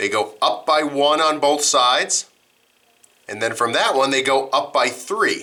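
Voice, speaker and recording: This man has an ordinary speaking voice, pitched fairly high, moving fairly slowly with ordinary pitch variation. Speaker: math teacher. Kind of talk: lecture.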